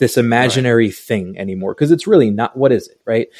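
A man speaks at a fairly quick pace and medium pitch, with ordinary pitch variation. The recording is very clean, with a silent background. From New York, Long Island. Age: 30s. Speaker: artist. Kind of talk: casual chat.

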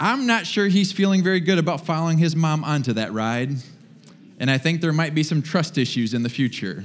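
Amid audible room echo, a man with a fairly high pitch speaks at a fairly quick pace in an animated tone with lively intonation. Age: 40s. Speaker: pastor. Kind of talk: sermon.

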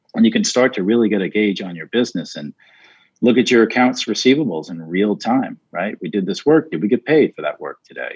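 A man with an ordinary speaking voice talks at a medium pitch and fairly quick pace with lively intonation and big swings in loudness, in a dry, close sound with no echo and a quiet background. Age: 50s. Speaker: tech company co-founder. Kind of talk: podcast interview.

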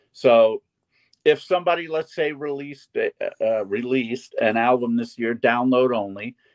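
This man has an unremarkable speaking voice at medium pitch, with ordinary pitch variation and a moderate pace. The sound is dry and close, with no echo. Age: 60s. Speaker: festival organizer and co-host. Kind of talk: casual chat.

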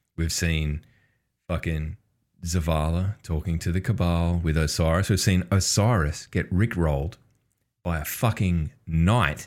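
The speaker has an Australian accent and fairly even intonation. The recording is very clean, with a silent background. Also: man. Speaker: podcast host. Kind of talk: casual banter podcast. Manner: crude, joking.

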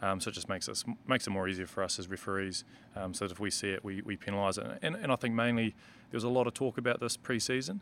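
Speaking at a very fast pace with a New Zealand accent, a man keeps a fairly low pitch with ordinary pitch variation. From New Zealand, Marlborough. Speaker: rugby referee. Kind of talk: casual interview. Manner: hesitant, many ums.

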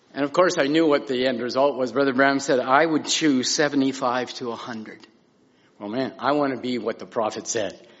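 Moderate in pace, a man speaks at medium pitch with fairly even intonation. His is a plain, everyday voice. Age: 60s. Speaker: minister. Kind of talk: testimony. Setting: church pulpit.

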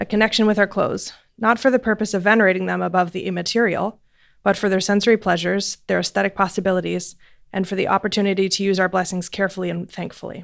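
A woman's very fast speech with vocal fry. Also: very clean recording, silent background. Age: 20s. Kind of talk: reading an essay aloud.

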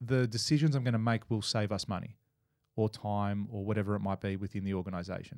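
A man speaks very fast with an Australian accent, his pitch fairly low. The recording is very clean, with a silent background. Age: 30s. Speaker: builder and business coach. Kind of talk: casual interview.

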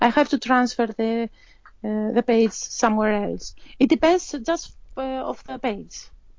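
A woman's high-pitched voice in a Greek accent, fairly slow, with ordinary pitch variation and big swings in loudness. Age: 40s. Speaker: hobby artist, coloring enthusiast. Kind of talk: interview conversation. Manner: halting.

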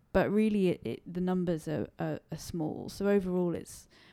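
A woman speaks at a fairly low pitch with a dark, mellow tone. The recording is very clean, with a silent background. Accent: London. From England, London. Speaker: British expat. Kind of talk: casual interview. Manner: halting.

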